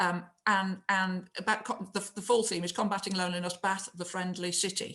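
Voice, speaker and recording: Speaking at a moderate pace in a northern English accent, a woman uses a medium pitch, a bright, sharp tone and monotone, flat intonation. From northern England. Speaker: mayor. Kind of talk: casual interview chat.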